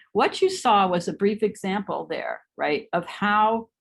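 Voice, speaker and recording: A woman talks with vocal fry. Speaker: professor. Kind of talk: lecture. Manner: fast.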